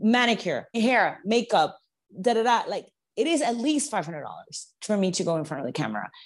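A woman talks at a fairly quick pace with a Spanish accent, her pitch swinging very widely. The background is quiet. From Venezuela. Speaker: chef and TV host. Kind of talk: casual interview. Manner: halting, many repetitions.

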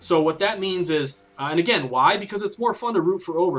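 Against noticeable background noise, a man with an American accent talks at a fairly quick pace in a high pitch. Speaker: sports betting author. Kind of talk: podcast interview.

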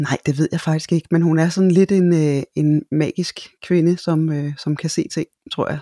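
The tone is dark and mellow, with fairly even intonation. The sound is dry and close, without echo. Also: woman. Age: 50s. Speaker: voice-over speaker and teacher. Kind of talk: interview. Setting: studio. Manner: hesitant, many fillers.

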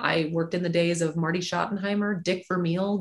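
A woman's fairly low, somewhat breathy voice carries fairly even intonation. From moved around; Alabama and Nebraska. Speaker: sports executive. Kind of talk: interview.

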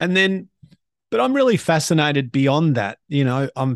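A man with an Australian accent speaks at a fairly slow pace with ordinary pitch variation. The sound is dry and close with no echo, and the background is quiet. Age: 50s. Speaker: podcast host and motivational speaker. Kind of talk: interview.

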